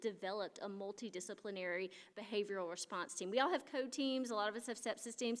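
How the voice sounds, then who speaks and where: A woman talks at a very fast pace with an American accent. Her pitch varies in an ordinary way. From US South. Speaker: critical care clinician. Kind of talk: conference talk.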